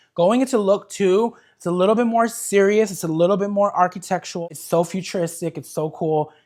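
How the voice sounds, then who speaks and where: Delivered at a fairly quick pace with hardly any pauses, the animated speech comes through on a very clean recording with a silent background. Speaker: fashion content creator. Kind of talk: video vlog narration.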